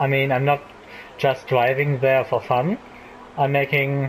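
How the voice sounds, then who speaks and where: A man speaks in a fairly high pitch with monotone, flat intonation. Noticeable background noise runs behind him. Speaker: gaming YouTuber. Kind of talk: let's play commentary. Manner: halting, many fillers.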